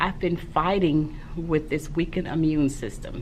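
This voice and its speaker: Amid noticeable background noise and audible room echo, a woman speaks at a fairly slow pace with a very deep, low pitch. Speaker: primary school teacher and vlogger. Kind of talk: casual vlog talk.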